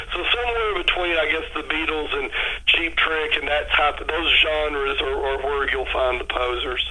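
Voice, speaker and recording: With a Texas accent, a man talks at a moderate pace amid audible room echo and noticeable background noise. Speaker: rock musician. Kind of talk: radio interview.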